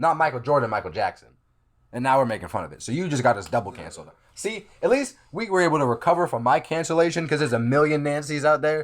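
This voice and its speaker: A man's fairly high, very fast delivery with vocal fry, lively intonation and big swings in loudness. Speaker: podcast host. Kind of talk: casual chat. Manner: animated.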